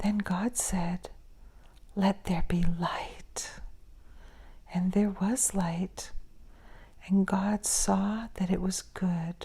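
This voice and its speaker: Whispering and soft-spoken, the voice sounds somewhat breathy with a gentle tone and moves at a very slow pace. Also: woman. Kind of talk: soft-spoken scripture reading for sleep and relaxation. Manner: soft-spoken, gentle, whispery, slow.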